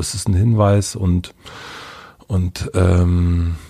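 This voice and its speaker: A man speaks with a very deep, low pitch and fairly even intonation. His tone is dark, mellow, calm and somewhat breathy. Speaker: podcaster. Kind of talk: interview. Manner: hesitant.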